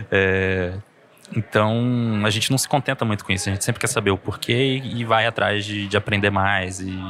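With noticeable background noise behind him, a man of fairly low pitch speaks at a moderate pace with fairly even intonation. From Brazil (Pará and Goiás). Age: 30s. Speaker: scientist and science podcaster. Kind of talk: casual interview conversation. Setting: café at a university library.

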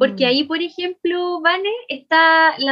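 A woman with a Chilean accent and lively intonation. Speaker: podcast co-host. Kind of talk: casual chat.

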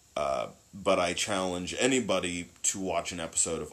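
His voice carries vocal fry. This man's pitch is very deep and low. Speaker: podcast host. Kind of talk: casual chat.

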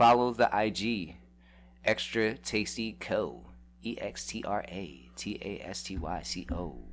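Very slowly, a man talks with vocal fry, his pitch swinging very widely and his loudness rising and falling sharply. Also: fairly low pitch for a man. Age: 30s. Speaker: podcast guest and small business owner. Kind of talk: casual chat. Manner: laid-back, filler-heavy slang speech.

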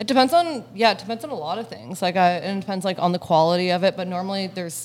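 The woman's voice has a medium pitch and varies in pitch in an ordinary way. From Hamilton, Ontario, Canada. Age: 30s. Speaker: entrepreneur with a past drug conviction. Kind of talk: interview. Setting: cafe.

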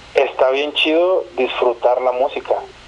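A man talks over noticeable background noise. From northern Mexico (Chihuahua). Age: 30s. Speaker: musician. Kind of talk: casual interview. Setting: phone call.

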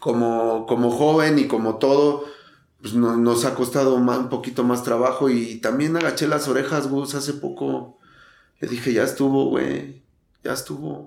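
Fairly slow, fairly even speech from a man of medium pitch, with audible room echo. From Mexico City, Tepito. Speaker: recovering alcoholic. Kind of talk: testimony. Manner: halting.

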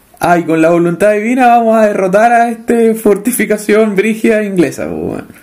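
With a Chilean accent, a man talks at a moderate pace in a high pitch and fairly even intonation. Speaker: podcast co-host. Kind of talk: casual chat. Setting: home living room. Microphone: cheap microphone.

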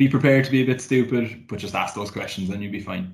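The speaker is a man. He talks in a Cork accent. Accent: Cork Irish. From Cork, Ireland. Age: 20s. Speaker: graduate market executive. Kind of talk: casual chat.

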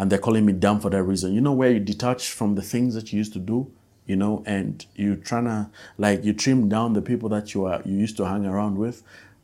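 A man with a Malawian accent speaks fairly quickly in a fairly low pitch, his intonation fairly even. His tone is dark and mellow, and the recording is very clean with a silent background. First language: Nyanja. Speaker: musician and podcast host. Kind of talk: casual solo podcast monologue.

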